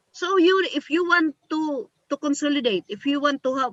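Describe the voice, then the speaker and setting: A woman with a Filipino accent speaks at a fairly slow pace, her intonation lively. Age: 60s. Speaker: community organizer. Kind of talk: panel talk.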